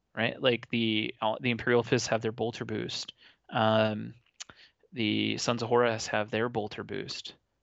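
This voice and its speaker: Speaking with vocal fry, a man keeps a medium pitch and a flat monotone at a fairly slow pace. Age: 30s. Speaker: podcast host. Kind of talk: casual chat.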